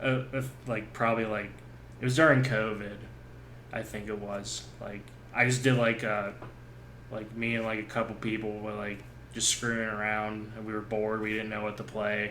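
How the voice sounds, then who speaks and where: A man's fairly low, bright and sharp-toned voice in a monotone, flat intonation at a moderate pace, with long, frequent pauses and audible room echo. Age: 30s. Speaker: gaming podcast host. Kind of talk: casual chat. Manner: halting, many fillers.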